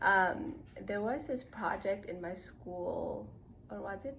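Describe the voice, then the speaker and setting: With audible room echo around her, a woman talks at a fairly slow pace in a medium pitch. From Nepal. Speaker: spiritual self-growth content creator. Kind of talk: casual personal vlog monologue. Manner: casual with many fillers (like, um).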